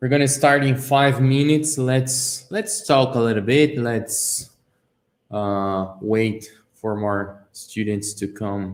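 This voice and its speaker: Using lively intonation and a Brazilian accent, a man of medium pitch talks at a very slow pace. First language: Portuguese. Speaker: car design sketching teacher. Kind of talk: live stream tutorial chat.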